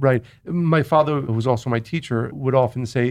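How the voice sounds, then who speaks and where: A man with an ordinary speaking voice and medium pitch talks at a fairly quick pace against a quiet background. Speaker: spiritual teacher and author. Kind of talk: casual interview conversation.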